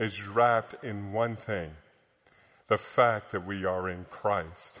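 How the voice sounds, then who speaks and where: With an American accent, a man speaks in an ordinary speaking voice at a fairly low pitch. His pace is fairly slow and his intonation fairly even. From upstate New York. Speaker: visiting pastor. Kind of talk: sermon. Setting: church.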